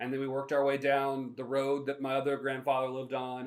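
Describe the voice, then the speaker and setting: Very fast speech in an American accent. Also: man. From US South, North Carolina (Shelby area). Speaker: podcast host and minister. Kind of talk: casual storytelling monologue.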